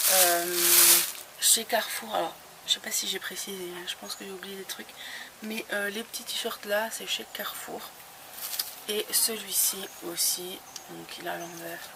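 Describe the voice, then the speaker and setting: A soft-spoken woman talks at a fairly slow pace, with long, frequent pauses. Noticeable background noise runs under her voice. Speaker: beauty vlogger. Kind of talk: haul video, casual talk to camera. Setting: outdoors. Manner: hesitant, many fillers.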